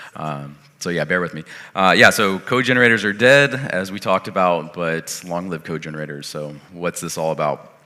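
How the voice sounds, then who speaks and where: A man with a very deep, low pitch and a bright, sharp tone speaks at a moderate pace with lively intonation. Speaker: software developer, conference keynote speaker. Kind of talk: conference keynote talk. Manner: casual, filler-heavy.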